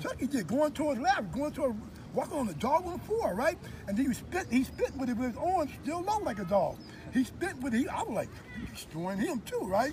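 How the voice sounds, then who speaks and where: A man at a fairly quick pace, extremely high in pitch, with very wide pitch swings over noticeable background noise. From US West Coast, East Oakland, California. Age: 60s. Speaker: street dancer. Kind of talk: interview storytelling. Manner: halting.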